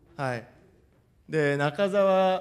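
Against a quiet background, a man speaks in a high pitch. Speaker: football coach. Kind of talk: lecture. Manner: formal. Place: hall. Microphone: podium.

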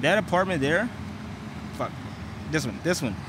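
Noticeable background noise sits under a dry, echo-free recording of a man whose pitch swings very widely. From US small town. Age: 20s. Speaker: vlogger. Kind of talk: casual vlog narration. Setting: outdoors. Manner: casual, filler-heavy speech. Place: street. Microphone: earbuds.

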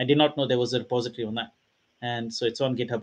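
A man talks at a very fast pace. His intonation is monotone and flat. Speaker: meetup co-host. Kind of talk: casual introduction chat. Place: home room. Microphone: headset.

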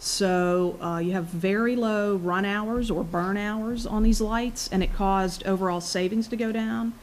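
A woman in a normal speaking voice talks at a moderate pace with ordinary pitch variation over light background noise. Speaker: energy company technical presenter. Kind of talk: technical presentation. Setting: public board meeting at podium. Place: meeting room. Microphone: podium.

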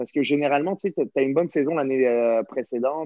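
Against a quiet background, a man with a plain, everyday voice and medium pitch uses ordinary pitch variation in a dry sound with no echo. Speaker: professional hockey player. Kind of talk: casual chat. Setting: video call. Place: home room. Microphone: video call.

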